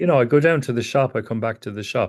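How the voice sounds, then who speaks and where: An Irish accent against a quiet background. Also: man. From Ireland. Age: 60s. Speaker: psychotherapist teacher. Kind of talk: lecture.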